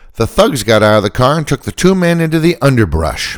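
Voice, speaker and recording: A man speaks at a moderate pace with very wide pitch swings. The recording is very clean, with a silent background. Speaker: podcast host. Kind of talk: true-crime narration, scripted storytelling. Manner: skeptical, wry.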